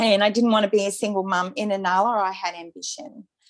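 A woman with an Australian accent talks at a fairly quick pace, with a medium pitch and ordinary pitch variation. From Brisbane, Australia. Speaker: birth mother and author. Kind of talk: interview testimony.

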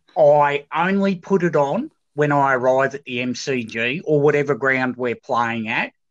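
With an Australian accent, a man with a fairly high pitch talks at a fairly slow pace with hardly any pauses and ordinary pitch variation, in a dry, close sound with no echo. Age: 50s. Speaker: football club supporter. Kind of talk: casual chat.

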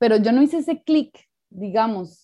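A woman uses a normal speaking voice at a moderate pace. Her intonation is lively. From Costa Rica. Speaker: documentary filmmaker and anthropologist. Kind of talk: interview conversation.

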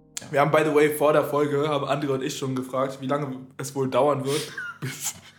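A man is speaking with noticeable background noise. Room echo can be heard too. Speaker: podcast co-host. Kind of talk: casual chat. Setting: home studio.

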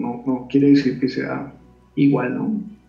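With audible room echo, a man talks at a fairly slow pace in a fairly high pitch, somewhat breathy and with a dark, mellow tone. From Colombia. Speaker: aikido teacher. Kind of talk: interview.

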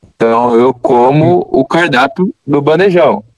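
In an ordinary speaking voice, a man talks with a fairly high pitch and lively intonation, recorded dry and close with no echo. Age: 20s. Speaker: engineering student. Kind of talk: casual chat.

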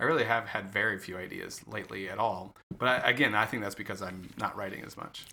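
Speaking at a very fast pace with hardly any pauses, a man with a fairly low pitch shows big swings in loudness. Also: ordinary pitch variation. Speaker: podcast co-host. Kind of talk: casual chat. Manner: halting, occasional stutter.

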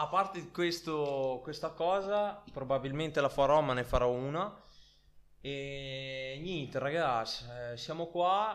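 This man speaks at a very slow pace in a fairly high pitch, using ordinary pitch variation. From Italy. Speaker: podcast host. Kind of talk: casual chat.

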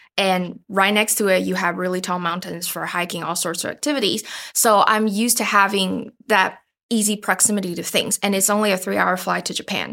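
Bright and sharp in tone, this voice with a Chinese accent moves at a fairly quick pace with fairly even intonation. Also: woman. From Taiwan, suburb of Taipei. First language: Mandarin Chinese. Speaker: podcast co-producer. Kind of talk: casual interview chat.

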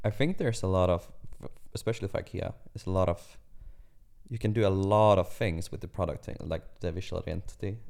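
The recording is very clean, with a silent background. The delivery has a Swedish accent, a fairly quick pace, long, frequent pauses and ordinary pitch variation. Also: man, fairly low pitch for a man. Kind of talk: casual chat.

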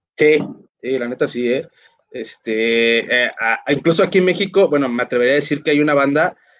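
A man speaks at a moderate pace in a normal speaking voice. His pitch sits in the medium range and varies in an ordinary way. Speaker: internet radio host. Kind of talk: casual interview. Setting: online live stream.

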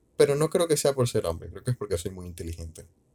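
The tone is dark and mellow, on a very clean recording with a silent background. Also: man. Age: 20s. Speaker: solo podcaster. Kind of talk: casual monologue. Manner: halting, with fillers and repetitions.

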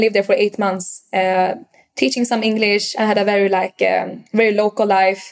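A woman with a Swedish accent and fairly even intonation. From Sweden, Stockholm. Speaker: startup founder. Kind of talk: casual interview. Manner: hesitant, halting with fillers.

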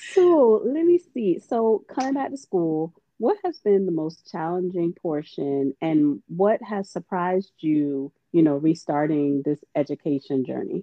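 Speaking with an American accent and hardly any pauses, a woman has an ordinary speaking voice, fairly low pitch and lively intonation. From Florida (Miami). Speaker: podcast host, dietetics intern. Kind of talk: casual interview.

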